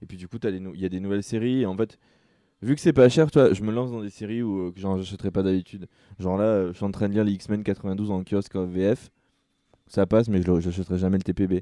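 A man speaks at a fairly low pitch and a fairly quick pace, with fairly even intonation and a dark, mellow tone. The sound is dry and close with no echo, against a quiet background. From southern France (Sète). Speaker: comics podcast co-host. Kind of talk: casual chat.

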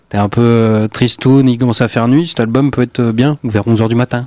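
On a very clean recording with a silent background, a man with an unremarkable speaking voice talks at a fairly slow pace and medium pitch. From Amiens, Picardy, France. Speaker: radio host. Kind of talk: casual radio music show.

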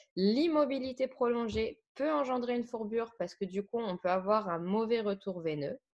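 With a normal speaking voice, a woman speaks at a moderate pace, her fairly high pitch carrying lively intonation. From France, Saône-et-Loire. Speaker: equine care podcast co-host. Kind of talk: educational podcast chat.

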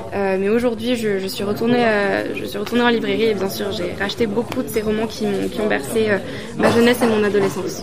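Over crowd noise and audible room echo, the speech runs very fast with hardly any pauses and fairly even intonation. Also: woman, medium pitch for a woman. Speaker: interpreter. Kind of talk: consecutive interpretation into French. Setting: busy press room at a festival. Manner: halting, with repetitions.

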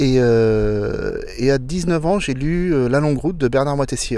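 Amid noticeable background noise, a man speaks in a fairly high voice with ordinary pitch variation. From France, Loire Valley (Blois). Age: 50s. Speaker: solo sailor. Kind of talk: interview. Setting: outdoors on a boat in port.

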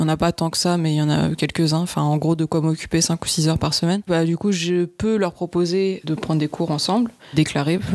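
A woman speaks at a moderate pace with a fairly low pitch. Hers is a plain, everyday voice. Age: 30s. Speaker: online English teacher. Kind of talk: casual interview.

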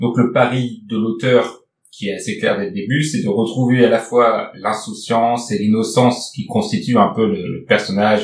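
A man with a normal speaking voice talks at a fairly slow pace, at medium pitch with ordinary pitch variation. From northern France. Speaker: podcast host. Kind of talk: casual book discussion.

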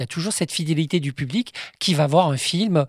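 On a very clean recording with a silent background and a dry, close sound with no echo, a man with high pitch and ordinary pitch variation talks at a fairly quick pace. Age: 50s. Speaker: film historian and author. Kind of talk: interview.

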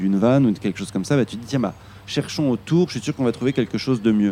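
The voice belongs to a man. His pitch sits at a medium level. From Île-de-France. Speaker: actor. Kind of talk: casual chat.

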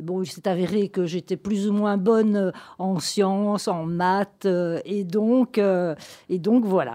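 Her voice a dark, mellow tone at medium pitch, a woman speaks at a very slow pace with ordinary pitch variation. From southern Belgium (Gaume). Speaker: radiologist. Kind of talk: interview. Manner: halting.

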